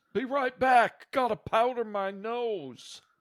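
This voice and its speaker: A man puts on a gruff character voice at an extremely high pitch, talking fairly slowly. The sound is dry and close with no echo, in a very clean recording with a silent background. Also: ordinary pitch variation. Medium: actual play. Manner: gruff, laconic.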